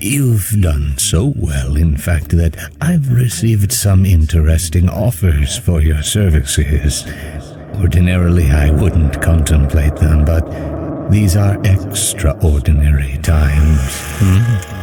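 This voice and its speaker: Clear background noise under a man's fairly slow, very deep and low-pitched put-on character voice. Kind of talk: formal, polite. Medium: machinima. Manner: slow, oddly measured phrasing with strange pauses.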